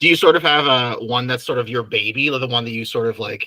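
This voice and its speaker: Speaking at a very fast pace, a man with a Canadian accent has a medium pitch and fairly even intonation. His tone is bright and sharp. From Canada. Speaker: podcast host and author. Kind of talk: interview.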